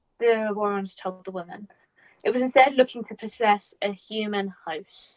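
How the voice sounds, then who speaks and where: A woman speaks with a fairly high pitch. Her loudness swings a lot. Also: fairly even intonation, moderate pace. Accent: British. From Britain. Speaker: podcast co-host. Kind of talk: reading aloud a researched story; casual chat.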